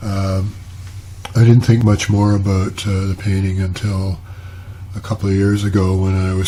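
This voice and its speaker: A man talks in a monotone, flat intonation. Noticeable background noise runs behind him. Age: 70s. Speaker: retired painter and video blogger. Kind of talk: casual talk to camera. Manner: halting, many fillers.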